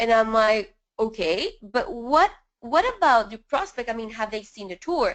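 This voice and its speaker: In a strong Spanish accent, a woman speaks at a high pitch with lively intonation. Her loudness swings widely over a quiet background. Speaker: network marketing leader. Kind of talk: webinar interview. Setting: live webinar call.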